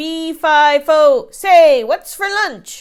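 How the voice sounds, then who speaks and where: Loud and extremely high-pitched, a woman performs a put-on character voice. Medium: read story. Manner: grumbling, loud.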